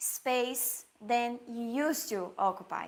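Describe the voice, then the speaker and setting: A woman speaks at a very slow pace in a Portuguese accent. Her pitch is high, with ordinary pitch variation. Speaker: pastry chef and baking teacher. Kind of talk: live Q&A tutorial. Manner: halting, searching for English words.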